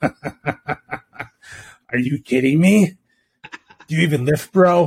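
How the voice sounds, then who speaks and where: In a put-on character voice, a man talks at a fairly slow pace and a fairly high pitch. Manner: incredulous, bro-ish.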